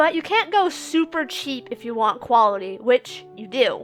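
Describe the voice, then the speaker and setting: Over music in the background, a woman speaks at a high pitch with lively intonation. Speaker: amateur voice actor and YouTuber who makes comic dubs. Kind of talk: casual how-to talk to camera. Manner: casual, conversational, self-deprecating.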